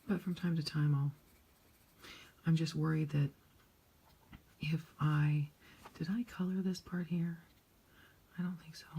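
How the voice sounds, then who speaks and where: A woman's somewhat breathy voice, fairly low in pitch with a dark, mellow tone, fairly even intonation, big swings in loudness and long, frequent pauses. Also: fairly slow pace. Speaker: coloring channel creator. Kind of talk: casual chat while coloring. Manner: quiet, subdued.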